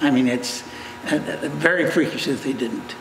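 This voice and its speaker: Audible room echo surrounds the voice, along with noticeable background noise. The speaker is a man. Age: 70s. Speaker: business owner. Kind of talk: news interview. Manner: halting, many false starts.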